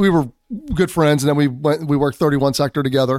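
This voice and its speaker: In a very clean recording with a silent background and a dry, close sound with no echo, a man speaks at a very fast pace with a fairly high pitch. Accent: Philadelphia. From Philadelphia. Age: 40s. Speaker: military police commander and federal investigator. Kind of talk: casual interview.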